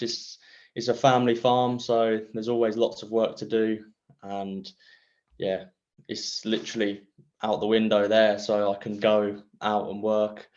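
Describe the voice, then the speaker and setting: A man's fairly slow, monotone, flat delivery. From England, Cambridgeshire. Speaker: trials rider and farmer. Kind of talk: casual interview.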